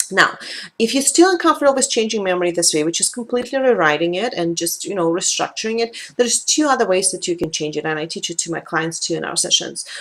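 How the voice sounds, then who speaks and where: Speaking at a very fast pace with a Russian accent, a woman uses a medium pitch with very wide pitch swings. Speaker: life coach and tapping practitioner. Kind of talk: talking-head video.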